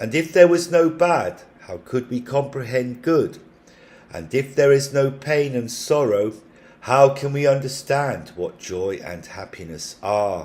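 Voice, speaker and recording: In an ordinary speaking voice, a man talks at a fairly slow pace with a fairly high pitch and lively intonation. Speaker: amateur audiobook narrator. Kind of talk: scripture audiobook reading. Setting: home recording.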